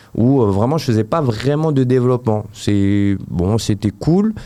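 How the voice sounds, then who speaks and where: This man's tone is dark and mellow. He speaks at a moderate pace with ordinary pitch variation. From Paris region, France. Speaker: app developer. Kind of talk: interview. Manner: hesitant, many fillers.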